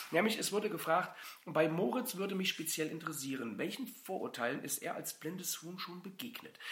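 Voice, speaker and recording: A man speaks at a fairly quick pace in a high pitch with lively intonation. Noticeable background noise can be heard. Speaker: insurance broker, podcast host. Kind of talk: casual chat.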